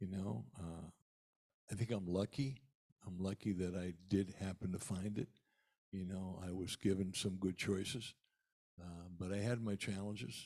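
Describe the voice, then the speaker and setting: A man with a very deep, low pitch and a dark, mellow tone speaks at a moderate pace with fairly even intonation and long, frequent pauses. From eastern Pennsylvania. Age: 70s. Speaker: musician. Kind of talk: talk to a church congregation. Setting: church service. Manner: halting.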